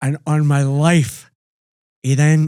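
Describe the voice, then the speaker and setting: Speaking in a Scottish accent, a man uses a fairly high pitch and a monotone, flat intonation. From Scotland. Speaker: podcast host and rock singer. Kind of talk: casual interview chat, storytelling.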